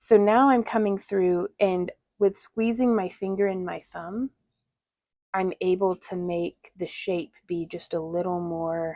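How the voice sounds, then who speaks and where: A woman with an American accent, medium in pitch with a dark, mellow tone, ordinary pitch variation and a fairly slow pace, in a dry, close sound with no echo. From US South. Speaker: crafter. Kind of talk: live craft tutorial. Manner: casual, chatty.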